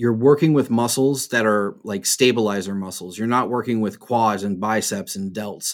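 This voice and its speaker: A man with a plain, everyday voice, medium pitch and fairly even intonation, on a very clean recording with a silent background. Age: 40s. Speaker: rigging trainer. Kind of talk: casual interview.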